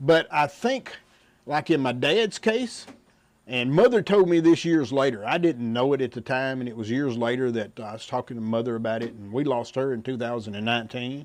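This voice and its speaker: Here a man with a plain, everyday voice talks at a moderate pace and medium pitch with ordinary pitch variation. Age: 60s. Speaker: widower sharing grief story. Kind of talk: testimony.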